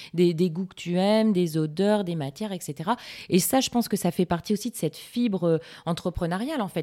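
A woman speaks at a moderate pace in a fairly low pitch with a dark, mellow tone. The recording is very clean, with a silent background. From northern France, Lille. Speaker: podcast host, communications freelancer. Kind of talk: interview.

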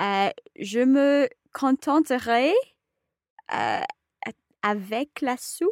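A woman's high voice at a very slow pace, with very wide pitch swings and long, frequent pauses, in a dry, close sound with no echo and a very clean recording with a silent background. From Scotland. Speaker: advanced French learner. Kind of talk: casual educational chat.

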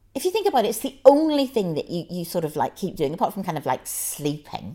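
The recording is very clean, with a silent background. A woman with a medium pitch and a dark, mellow tone speaks at a fairly quick pace. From Ireland. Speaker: food writer. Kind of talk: interview.

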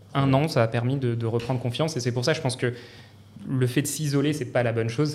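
A man talks at a fairly quick pace with a medium pitch and a monotone, flat delivery. Noticeable background noise and audible room echo fill the recording. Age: 30s. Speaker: civil society advisor. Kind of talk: casual chat.

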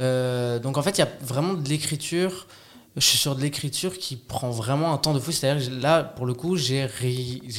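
Noticeable background noise sits behind a man speaking at a fairly high pitch and a moderate pace. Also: ordinary pitch variation. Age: 30s. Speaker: actor. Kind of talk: casual chat. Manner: halting.

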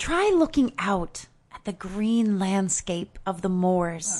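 In a put-on character voice, a female-sounding speaker talks very slowly at a medium pitch against a quiet background. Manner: lofty, rhapsodic, huffy.

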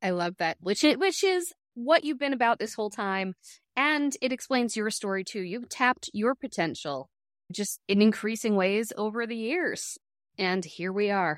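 A woman with an ordinary speaking voice, fairly high in pitch, lively in intonation and moderate in pace, on a very clean, dry, close recording with a silent background and no echo. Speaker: podcast host. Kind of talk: interview intro and chat. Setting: video podcast.

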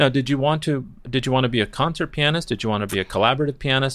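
Very clean recording with a silent background. A man speaks at a very fast pace. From Southern California, Newport Beach. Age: 40s. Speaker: podcast host and opera singer. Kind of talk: interview conversation.

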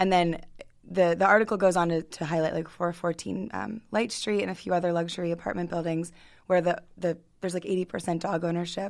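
At a fairly quick pace, a woman speaks in an unremarkable speaking voice with fairly low pitch. Her intonation stays fairly even. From Baltimore County, Maryland. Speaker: podcast host. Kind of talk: interview.

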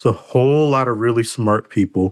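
Recorded dry and close with no echo, a man speaks in a plain, everyday voice. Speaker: technical program manager. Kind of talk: interview conversation.

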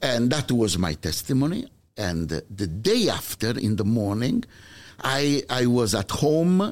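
A man with an Italian accent speaks at a fairly slow pace with very wide pitch swings and very even loudness. The recording is very clean, with a silent background. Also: medium pitch for a man. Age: 60s. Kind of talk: testimony.

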